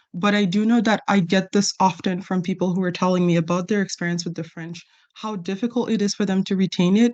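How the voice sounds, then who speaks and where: A woman talks at a fairly quick pace with fairly even intonation over a quiet background. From Ontario, Canada (moved there at age ten). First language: not English (learned English at ten). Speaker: government employee in a staff discussion. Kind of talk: bilingual group meeting discussion.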